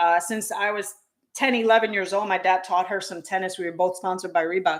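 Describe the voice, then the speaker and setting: An ordinary speaking voice from a woman with an American accent, fairly quick pace and ordinary pitch variation. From New York. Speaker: tennis channel co-host. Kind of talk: casual chat.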